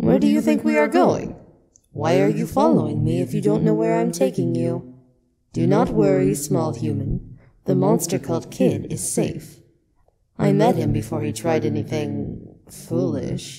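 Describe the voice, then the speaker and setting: In a put-on character voice, the speaker goes at a moderate pace with a very deep, low pitch. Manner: cryptic, deadpan, whimsical.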